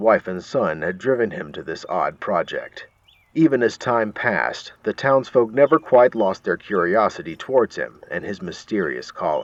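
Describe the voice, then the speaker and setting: The recording of this man is dry and close, without any echo, as he speaks at a moderate pace. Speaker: narrator. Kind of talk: horror story reading.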